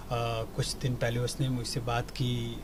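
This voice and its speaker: A man is speaking over noticeable background noise. Room echo is audible too. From Kashmir, India. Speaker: TV actor. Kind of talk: interview. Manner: halting.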